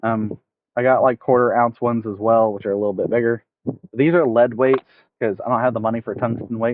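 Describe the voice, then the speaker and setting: A man of medium pitch keeps his intonation fairly even while talking at a fairly quick pace. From United States, not Arkansas. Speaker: fishing streamer. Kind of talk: live stream tutorial and chat. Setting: outdoors, streaming from phone. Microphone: phone mic with headphones, poor audio.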